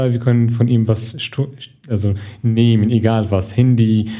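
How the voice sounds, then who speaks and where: A man's medium-pitched voice with an Arabic accent, flat monotone intonation, noticeable background noise and audible room echo. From Syria. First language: Arabic (speaking German). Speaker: actor and film student. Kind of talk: interview. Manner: halting.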